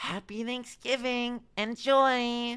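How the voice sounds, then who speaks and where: This woman uses a put-on character voice pitched high. Her intonation is monotone and flat. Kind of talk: fake service voice. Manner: condescending.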